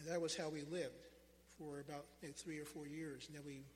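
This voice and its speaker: Audible room echo surrounds a man with an American accent whose somewhat breathy, fairly high voice moves at a fairly quick pace in a flat monotone. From Pennsylvania, Philadelphia area. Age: 60s. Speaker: lay preacher. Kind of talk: sermon. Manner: halting.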